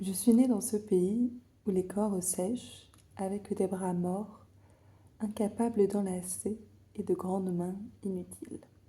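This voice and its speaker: Whispering in a soft-spoken, somewhat breathy way, a woman talks at a very slow pace in a calm tone, with long, frequent pauses. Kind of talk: ASMR book reading. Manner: whispered, calm, slow, soft.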